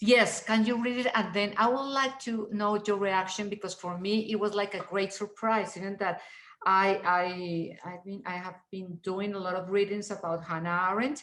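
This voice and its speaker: Speaking at a moderate pace with hardly any pauses, a woman with a non-native accent keeps a medium pitch and fairly even intonation. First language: not English. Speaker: reading group participant. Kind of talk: seminar discussion.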